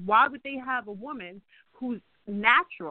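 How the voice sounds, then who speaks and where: A woman speaks with an American accent. Her pitch variation is ordinary. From New York, French Antilles roots. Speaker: guest, holistic practitioner. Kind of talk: interview discussion. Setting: phone or online call. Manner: fast talker.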